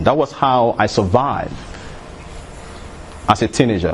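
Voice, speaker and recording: A man with a Nigerian accent, lively intonation and a moderate pace, amid noticeable background noise. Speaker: motivational speaker. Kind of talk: motivational talk.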